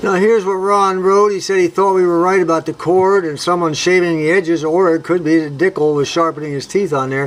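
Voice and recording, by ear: A high-pitched man at a fairly quick pace, few pauses and fairly even intonation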